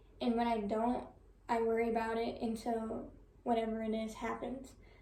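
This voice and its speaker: Audible room echo surrounds a woman speaking at a moderate pace with a fairly high pitch. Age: 20s. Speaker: college student. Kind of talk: class presentation. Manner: soft-spoken.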